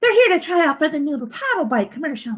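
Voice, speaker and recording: A woman does a squeaky, put-on character voice at a high pitch, racing at a very fast pace with very wide pitch swings. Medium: read story.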